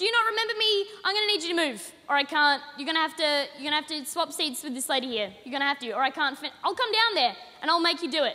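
A woman with an Australian accent talks at a very fast pace and a high pitch, with very wide pitch swings and hardly any pauses. Her voice is raised and projected over noticeable background noise. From Australia, Adelaide. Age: young. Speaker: comedian. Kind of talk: stand-up. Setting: stage with audience.

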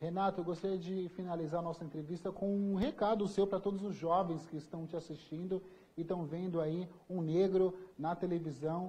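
At a moderate pace, a man with a high pitch and a dark, mellow tone speaks with fairly even intonation. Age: young. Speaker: TV journalist. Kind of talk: live TV interview.

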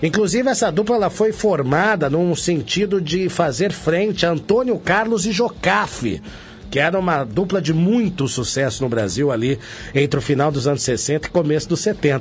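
Music plays behind a man speaking at a moderate pace with very even loudness. His high pitch moves through very wide swings. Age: 40s. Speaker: radio host. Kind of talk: radio show interview.

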